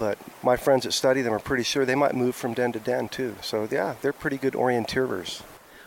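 A man with an American accent and a normal speaking voice, medium in pitch, at a fairly quick pace with fairly even intonation. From Oklahoma. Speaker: herpetologist. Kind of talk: casual interview. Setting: outdoors, on a raft on a river.

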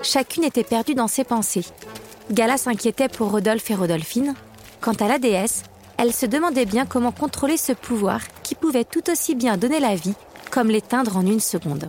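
Over noticeable background noise, a woman with a fairly high pitch and a warm, playful tone speaks at a moderate pace, her intonation lively and her loudness very even. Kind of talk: fairy-tale audiobook narration. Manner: storyteller's warm, measured narration, shifting into playful character voices.

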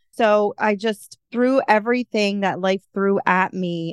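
With an American accent, a woman uses a normal speaking voice at a fairly slow pace and ordinary pitch variation, in a dry, close sound with no echo over a quiet background. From Philadelphia, US. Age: 30s. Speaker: life coach and podcaster. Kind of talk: interview conversation.

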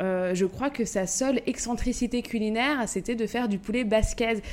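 In a plain, everyday voice, a woman speaks at a fairly slow pace with ordinary pitch variation. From Paris suburbs, Val-de-Marne (94). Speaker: podcast co-host and café owner. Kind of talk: casual chat.

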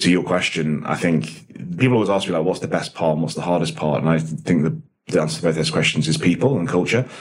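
Through noticeable background noise, a man with a very deep, low pitch talks at a very fast pace with ordinary pitch variation. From English Midlands (Nottinghamshire), born in Dublin. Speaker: coffee business founder. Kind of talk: interview.

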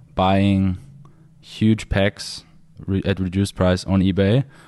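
In a German accent, the voice has a dark, mellow tone and monotone, flat intonation on a very clean recording with a silent background. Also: man. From Austria. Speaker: dating coach. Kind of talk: casual chat.

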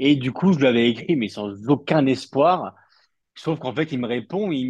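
A man talks in an ordinary speaking voice. His pitch is medium and his pace moderate. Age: 30s. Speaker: football journalist. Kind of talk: casual chat.

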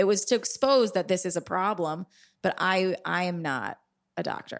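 With an American accent, a woman talks at a medium pitch and moderate pace, with ordinary pitch variation and an unremarkable speaking voice. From New York City, Upper East Side. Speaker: comedian and podcast host. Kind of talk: casual chat.

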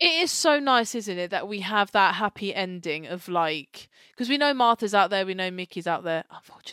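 A woman's bright, sharp voice with lively intonation, big swings in loudness and hardly any pauses. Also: medium pitch for a woman, fairly quick pace. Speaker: podcast co-host. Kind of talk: casual chat. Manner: animated.

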